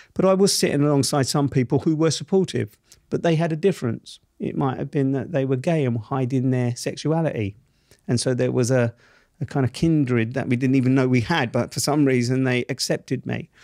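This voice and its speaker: Talking at a fairly quick pace, a man speaks in a South East London accent. His medium-pitched voice has a dark, mellow tone on a very clean recording with a silent background. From southeast London, Camberwell. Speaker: journalist and TV presenter, former wrongfully convicted prisoner. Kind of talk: podcast interview. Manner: animated.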